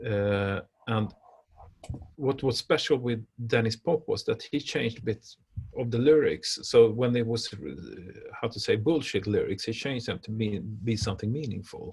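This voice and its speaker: Speaking with a Swedish accent at a moderate pace, the voice is somewhat breathy with ordinary pitch variation. Long pauses come often. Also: man, medium pitch for a man. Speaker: music industry expert. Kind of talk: interview conversation. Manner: halting, many hesitations.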